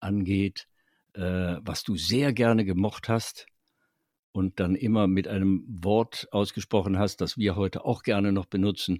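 A man with a Berlin accent speaks at a fairly low pitch in a very clean recording with a silent background. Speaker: podcast co-host, voice actor and writer. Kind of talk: casual chat.

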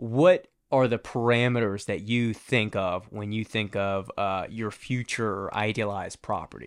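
A normal speaking voice from a man with an American accent, fairly low in pitch and at a fairly slow pace, on a very clean recording with a silent background. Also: fairly even intonation, hardly any pauses. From US, Virginia suburbs. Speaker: podcast host. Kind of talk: casual interview. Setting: studio.

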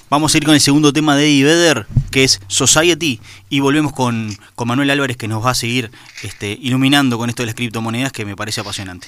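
Pitched at a medium level, a man talks very fast with ordinary pitch variation. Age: 30s. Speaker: radio host. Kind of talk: radio show.

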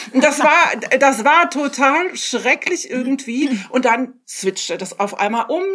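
Over noticeable background noise, a woman speaks very slowly at a high pitch with lively intonation. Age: 50s. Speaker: podcast co-host. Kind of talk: casual chat.

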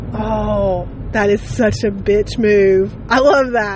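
Heard with audible room echo and noticeable background noise, a woman speaks. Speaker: podcaster. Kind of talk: casual monologue. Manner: rambling with fillers.

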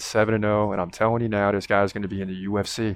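A man speaks at a fairly low pitch. He talks very fast. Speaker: MMA commentator. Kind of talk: live fight commentary and reaction. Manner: animated, excitable; fast, rapid-fire play-by-play.

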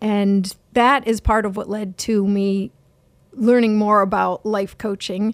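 Speaking at a very slow pace, a woman with a fairly high pitch comes through on a very clean recording against a silent background. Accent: American. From Erie, Pennsylvania. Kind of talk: interview conversation.

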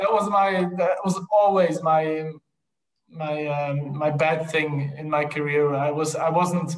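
A man speaks slowly in a fairly high pitch. His intonation is fairly even, and strong room echo surrounds him.

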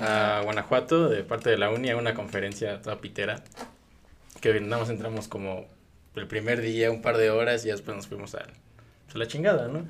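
A man talks at a moderate pace with a medium-pitched, unremarkable speaking voice. His intonation stays fairly even. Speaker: university student or recent graduate. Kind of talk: casual chat.

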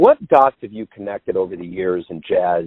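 The speaker is a man with a plain, everyday voice. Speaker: jazz podcast interviewer. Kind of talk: interview.

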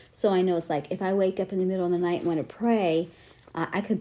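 A woman with an American accent speaks at a very fast pace in a fairly low pitch. Her tone is dark and mellow, her intonation monotone and flat. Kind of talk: casual rambling book reading and devotional talk, with fervent prayer near the end. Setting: home studio, recorded as a library podcast. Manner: fervent, emotional, praying aloud with urgency; rambling, ad-libbed, with frequent fillers.

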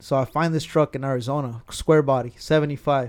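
On a very clean recording with a silent background, a man with an American accent speaks at a moderate pace and a fairly high pitch. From California (Carpinteria). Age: 30s. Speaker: truck club member and car enthusiast. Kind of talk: casual chat.

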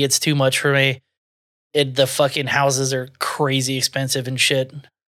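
In a Southern US accent, a man speaks fairly quickly with a fairly high pitch. His tone is bright and sharp, on a very clean recording with a silent background. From US South. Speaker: podcast host. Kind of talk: casual chat.

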